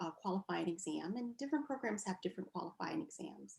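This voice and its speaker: A woman's medium-pitched voice with vocal fry, lively intonation and a fairly quick pace. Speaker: physical therapist. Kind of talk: interview answer.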